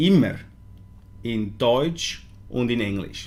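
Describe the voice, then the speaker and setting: Audible room echo surrounds a man speaking very slowly at medium pitch. He has a Swiss German accent. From Switzerland. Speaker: vape product maker presenting a launch. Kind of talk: live stream product presentation. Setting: live stream. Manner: hesitant, many fillers.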